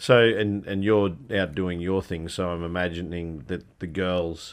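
The man's voice has a very deep, low pitch. He talks at a moderate pace with fairly even intonation. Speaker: podcast host. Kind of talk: interview.

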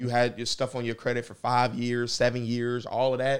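A man with a plain, everyday voice and an American accent talks at a fairly quick pace at medium pitch, in a very clean recording with a silent background. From US Midwest, Indianapolis. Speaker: real estate investor. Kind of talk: casual interview.

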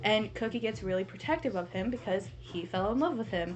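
Moderately paced talk from a woman with a plain, everyday voice. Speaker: podcast co-host. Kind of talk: casual chat. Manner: excitable.

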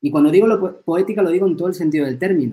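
A man's voice with a dark, mellow tone. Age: 40s. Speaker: film teacher and philosopher. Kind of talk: interview conversation. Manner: hesitant, frequent repetitions.

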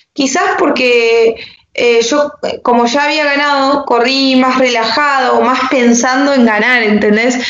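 Amid audible room echo, a woman with a high pitch speaks at a fairly slow pace, her loudness very even and her intonation fairly even. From Argentina, Entre Ríos. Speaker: motocross and enduro rider. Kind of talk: interview.

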